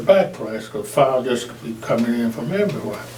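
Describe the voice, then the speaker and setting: With a Southern US accent, a man speaks at medium pitch and a moderate pace, using ordinary pitch variation amid noticeable background noise. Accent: Southern American. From Arkansas. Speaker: Air Force veteran, firefighter; preacher. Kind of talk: interview answer.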